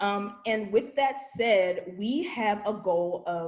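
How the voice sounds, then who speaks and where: A woman speaks in a medium pitch with an American accent. She has an unremarkable speaking voice with ordinary pitch variation. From Virginia, US. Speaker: voter registration trainer. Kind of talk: training presentation.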